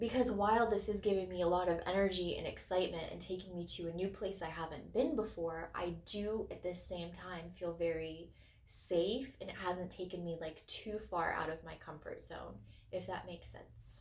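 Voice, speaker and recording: Through audible room echo and noticeable background noise, a woman of medium pitch speaks at a moderate pace with fairly even intonation and big swings in loudness. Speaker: crystal channel host. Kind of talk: casual video monologue.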